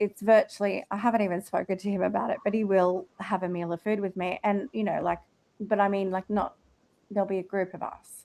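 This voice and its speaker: This woman has a dark, mellow tone at a medium pitch and an Australian accent, speaking at a fairly quick pace with monotone, flat intonation. The sound is dry and close, with no echo. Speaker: live audio room host. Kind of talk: casual group chat.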